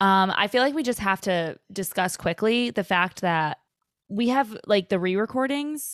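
A woman speaks at a moderate pace with ordinary pitch variation, in a plain, everyday voice. The sound is dry and close, with no echo. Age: 20s. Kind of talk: casual chat.

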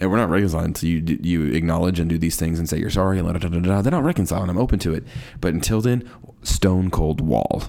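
Talking at a very fast pace, a man with a very deep, low pitch shows ordinary pitch variation. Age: 30s. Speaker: podcast host. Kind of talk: casual monologue on faith. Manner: rambling with frequent fillers.

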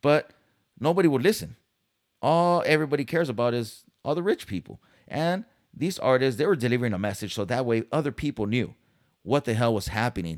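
An animated man speaks at a fairly quick pace with very wide pitch swings. The sound is dry and close with no echo, on a very clean recording with a silent background. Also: medium pitch for a man. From San Diego, California. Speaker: podcast host. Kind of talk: casual monologue.

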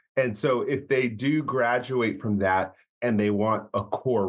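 Very slowly, a man talks with ordinary pitch variation. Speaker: podcast co-host and freelance game writer. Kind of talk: casual chat. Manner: relaxed, conversational.

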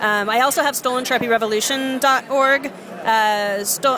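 A woman speaks with ordinary pitch variation. Noticeable background noise can be heard. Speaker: zine maker and button shop owner. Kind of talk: casual interview chat. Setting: zine fest table, indoor crowd.

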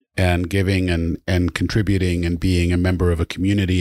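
Very deep and low, a man's voice moves at a fairly quick pace with fairly even intonation. The recording is very clean, the background silent. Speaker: podcast co-host. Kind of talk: interview conversation. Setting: studio.

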